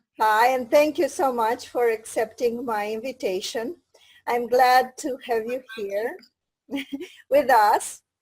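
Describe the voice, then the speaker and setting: A woman speaks at a very slow pace with a high pitch. Her pitch variation is ordinary. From Romania. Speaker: interviewer. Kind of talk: interview.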